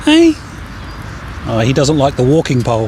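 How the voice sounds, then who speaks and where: A man keeps a moderate pace as he speaks over noticeable background noise. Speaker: animal whispering coach. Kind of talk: casual tutorial outdoors with birds. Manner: soft, caring tone.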